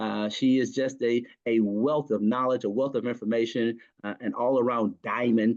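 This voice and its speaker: Against a quiet background, a man with an ordinary speaking voice talks at a fairly quick pace and medium pitch. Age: 60s. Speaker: network marketing business owner. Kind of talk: interview.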